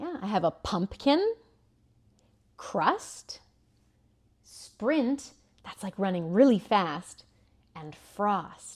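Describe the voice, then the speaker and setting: A woman's medium-pitched voice in a calm tone, with very wide pitch swings, a very slow pace and long, frequent pauses. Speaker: preschool teacher. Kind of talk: tutorial.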